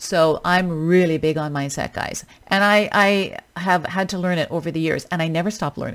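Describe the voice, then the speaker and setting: A woman with a Western Canadian accent and a fairly low pitch talks with fairly even intonation and hardly any pauses. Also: moderate pace. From Canada, British Columbia. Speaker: fitness coach podcast host. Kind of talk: solo podcast monologue. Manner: casual, conversational.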